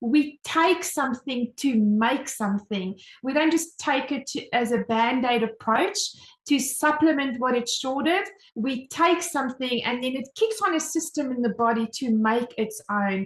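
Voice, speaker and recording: Speaking in a South African accent, a woman has a high pitch, lively intonation, and an animated tone. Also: fairly slow pace. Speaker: home business mentor, presenter. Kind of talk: online sales presentation.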